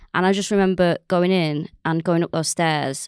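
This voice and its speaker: With a Mancunian accent, a woman speaks fairly quickly in a fairly low pitch, captured as a very clean recording with a silent background and a dry, close sound with no echo. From North Manchester, England. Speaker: comedian and podcaster. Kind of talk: casual chat.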